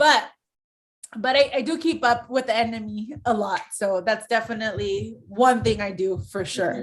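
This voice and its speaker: Speaking with an American accent, a woman with a fairly high pitch shows ordinary pitch variation and vocal fry. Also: moderate pace. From US, San Diego near Mexican border. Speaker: sports broadcaster. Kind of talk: casual chat.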